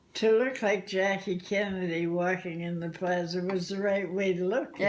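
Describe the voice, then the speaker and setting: Over noticeable background noise, a woman talks at medium pitch and a moderate pace with fairly even intonation. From Canada. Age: 80s+. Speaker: realtor. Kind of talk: interview answer.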